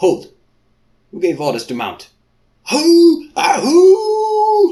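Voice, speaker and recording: A man uses a put-on character voice that is guttural yet extremely high-pitched. His pace is very slow. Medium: read story. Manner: barking orders.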